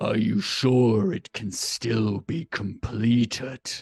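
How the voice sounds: In a put-on character voice, someone growls at a very slow pace, the sound dry and close with no echo. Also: man, medium pitch for a man.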